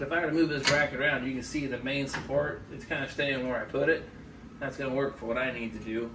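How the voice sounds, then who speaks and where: A man talks at a very fast pace with ordinary pitch variation. Noticeable background noise sits behind him. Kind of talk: tutorial. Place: garage. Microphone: camera far.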